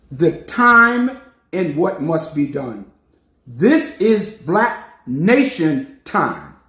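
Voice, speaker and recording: A man with an American accent speaks in a high, raised, projected voice. His pace is very slow and his pitch swings very widely. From New York City. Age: 70s. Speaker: preacher. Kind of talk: sermon. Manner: animated.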